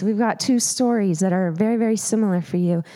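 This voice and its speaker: A woman's dark, mellow tone in an American accent. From Montana. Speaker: preacher. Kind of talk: sermon. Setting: church. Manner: loud.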